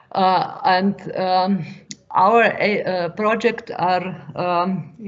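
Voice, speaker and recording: The speaker talks very slowly with fairly even intonation and a Slovenian accent. Noticeable background noise sits under the voice. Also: woman, medium pitch for a woman. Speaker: farm advisor. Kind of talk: question in webinar Q&A. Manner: halting, many hesitations.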